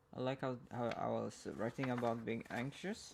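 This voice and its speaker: Over noticeable background noise, a man speaks with a Swedish accent. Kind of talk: ASMR ramble, poetry reading. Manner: close-up, rambling.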